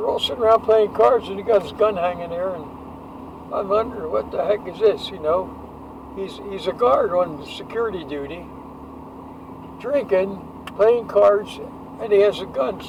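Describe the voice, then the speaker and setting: Over noticeable background noise, a high-pitched man speaks with long, frequent pauses. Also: ordinary pitch variation, moderate pace, big swings in loudness. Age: 80s+. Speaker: war veteran. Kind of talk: casual chat. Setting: in a car. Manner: halting. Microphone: poor audio quality.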